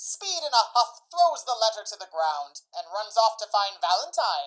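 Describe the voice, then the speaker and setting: A woman speaks at a fairly high pitch with very wide pitch swings. Her loudness also swings widely. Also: moderate pace. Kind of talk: casual radio drama narration. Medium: stage play.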